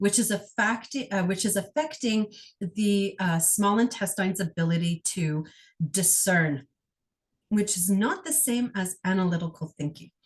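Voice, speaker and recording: Here a woman speaks at a medium pitch with ordinary pitch variation. Her voice is somewhat breathy. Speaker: energy healer. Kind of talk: guided healing session. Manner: fast.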